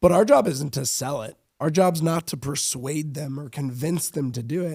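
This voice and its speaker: This man's voice sits at a fairly high pitch, is somewhat breathy, and moves at a moderate pace. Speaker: sales director. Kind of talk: podcast sales advice. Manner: stammers at times.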